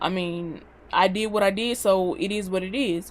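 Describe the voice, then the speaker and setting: Her medium-pitched voice shows ordinary pitch variation as this woman speaks with a Southern US accent. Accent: country-sounding Southern US. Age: 20s. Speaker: vlogger. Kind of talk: casual vlog monologue. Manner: animated.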